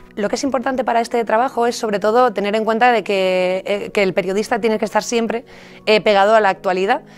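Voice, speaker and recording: A woman talks at a very fast pace with fairly even intonation. Faint music plays in the background. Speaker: radio journalist and presenter, university lecturer. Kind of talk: interview answer. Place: studio. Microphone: studio mic.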